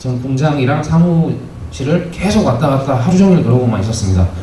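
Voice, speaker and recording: Lively intonation marks a man's moderate-paced speech, heard with audible room echo and noticeable background noise. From Taebaek, Gangwon Province, South Korea. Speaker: cooperative employee, young community worker. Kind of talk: presentation at community meeting. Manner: halting, many fillers.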